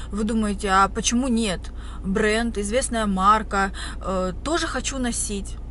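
Over light background noise, a woman speaks with fairly even intonation in a dry sound with no echo. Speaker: vlogger. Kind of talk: casual vlog chat. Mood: reflective, relaxed. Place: car. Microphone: phone near.

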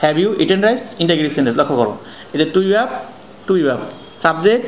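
Audible room echo and light background noise surround a man speaking at a fairly high pitch. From Bangladesh. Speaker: online English teacher; English grammar teacher. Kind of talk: lecture. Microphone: phone near.

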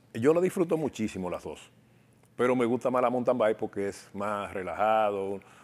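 With a normal speaking voice, a man talks at a moderate pace in a medium pitch, his intonation lively. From Dominican Republic, Cibao region (La Vega/Santiago); Dominican Republic. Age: 60s. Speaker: bicycle shop owner and former competitive cyclist; interview guest. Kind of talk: interview. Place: studio. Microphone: lapel.

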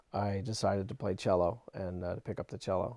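Recorded dry with no echo against a quiet background, a man speaks at a moderate pace in a dark, mellow tone. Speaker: interviewee. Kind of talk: interview answer. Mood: relaxed, warm, some laughs. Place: home room. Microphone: lapel.

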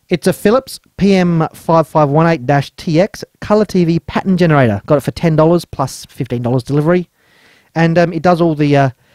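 Recorded with a dry sound, no echo and a quiet background, a man talks at a fairly slow pace with ordinary pitch variation. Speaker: electronics hobbyist reviewer. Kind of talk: casual tech review narration. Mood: wry, amused. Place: workshop.

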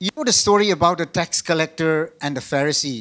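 A man with a Northeast Indian accent talks at a fairly quick pace. His pitch is fairly high, and the background is quiet. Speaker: pastor. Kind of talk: sermon. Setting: video call. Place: church. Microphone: handheld.

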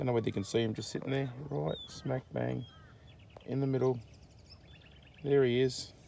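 With a dark, mellow tone and some vocal fry, a man talks at a medium pitch with fairly even intonation. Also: moderate pace.

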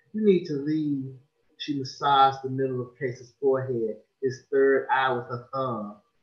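Quiet background behind an unforced reading voice

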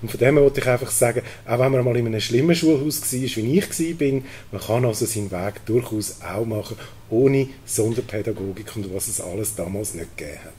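With a Zurich accent, the speaker moves at a fairly quick pace with ordinary pitch variation and big swings in loudness over light background noise. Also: man, medium pitch for a man. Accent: Swiss German (Zurich). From Switzerland, Zurich region. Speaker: cantonal politician. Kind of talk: panel debate. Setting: stage with audience. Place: hall. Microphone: handheld.

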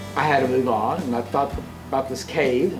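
A man talks fairly quickly while faint music plays behind him. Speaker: travel vlogger. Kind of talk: casual vlog chat. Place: home room. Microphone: phone near.

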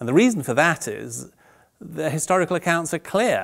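Against a quiet background, a man talks with vocal fry and very wide pitch swings. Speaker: interviewee, professor. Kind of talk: interview answer. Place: studio. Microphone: lapel.

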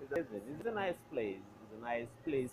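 There is music in the background behind a man's voice. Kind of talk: casual vlog chat. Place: studio. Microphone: earbuds.

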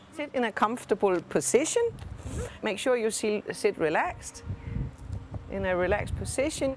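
The voice swings very widely in pitch over noticeable background noise, with a dry sound and no echo. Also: woman. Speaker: art teacher. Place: garden.

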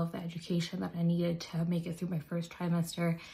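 Somewhat breathy and fairly low, a woman's voice carries an American accent and a dark, mellow tone. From North Attleboro, Massachusetts. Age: 20s. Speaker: mother. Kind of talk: personal testimonial to camera. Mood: earnest, emotional, reflective. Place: bathroom. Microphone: phone near.

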